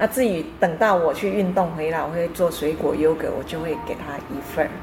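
A woman talks at a moderate pace with a fairly low pitch and ordinary pitch variation. Noticeable background noise is present. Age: 60s. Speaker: painter. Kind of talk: interview. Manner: hesitant fillers, mixes English words.

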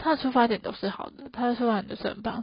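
A somewhat breathy woman at a very fast pace with lively intonation. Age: 20s. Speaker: solo podcast host. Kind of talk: casual monologue.

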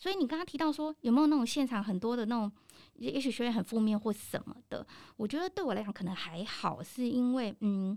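A woman speaks at a fairly quick pace with lively intonation in a fairly high, dark, mellow voice. The recording is very clean, with a silent background. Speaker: professional trainer and lecturer. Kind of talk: casual interview. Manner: animated, laughs often.

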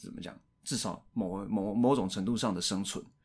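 At a moderate pace and with lively intonation, this Taiwanese-accented voice comes through on a very clean recording with a silent background. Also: man. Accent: Taiwanese Mandarin. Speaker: podcast co-host discussing films. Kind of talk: casual chat.

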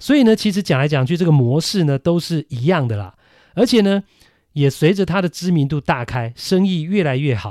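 A man with a Taiwanese accent, fairly high in pitch, with lively intonation at a moderate pace, in a dry, close sound with no echo and a very clean recording with a silent background. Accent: Taiwanese Mandarin. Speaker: baseball podcast host. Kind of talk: solo podcast commentary. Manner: conversational with many fillers.

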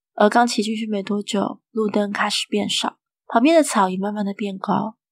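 A woman with a plain, everyday voice speaks at a moderate pace and fairly high pitch on a very clean recording with a silent background. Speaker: horror story narrator. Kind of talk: scripted horror story narration, first-person tale read aloud. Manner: storytelling, calm and suspenseful with a playful sing-song ending particle.

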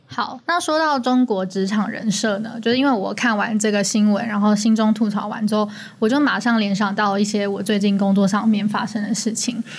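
A woman with a Taiwanese accent and fairly high pitch talks with hardly any pauses and fairly even intonation, amid noticeable background noise and audible room echo. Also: fairly quick pace. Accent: Taiwanese Mandarin. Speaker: podcast co-host. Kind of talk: casual chat.

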